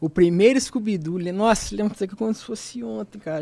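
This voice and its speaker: A man is speaking. His voice sits high for a man. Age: 20s. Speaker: university student, podcast presenter. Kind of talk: casual chat. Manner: informal, halting with fillers.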